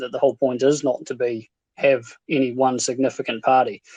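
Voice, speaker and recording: A man with a New Zealand accent speaks at a fairly quick pace. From New Zealand, Invercargill, South Island. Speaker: stake pool operator. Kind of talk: casual chat. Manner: halting, many fillers.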